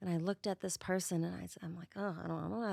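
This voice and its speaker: A woman with a Boston accent and fairly low pitch is heard with dry, close sound with no echo on a very clean recording with a silent background. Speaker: spirit medium. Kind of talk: podcast interview.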